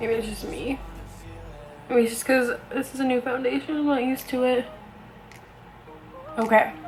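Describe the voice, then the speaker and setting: Over music in the background, the speaker keeps a moderate pace and fairly even intonation, with long, frequent pauses. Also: woman, high pitch for a woman. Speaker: beauty vlogger. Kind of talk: casual talk to camera. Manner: rambling, chatty.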